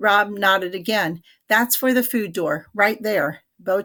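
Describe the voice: In a quiet background, the delivery is plain reading aloud.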